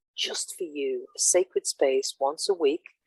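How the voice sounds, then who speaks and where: A woman with an English accent talks at a moderate pace, the sound dry and close with no echo. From England. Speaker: mentor / workshop co-host. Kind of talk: casual chat.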